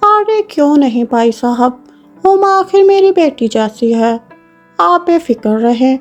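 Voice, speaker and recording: A woman in a cartoonish character voice, high-pitched with very wide pitch swings, at a fairly slow pace over faint background music. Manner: two-faced, scolding.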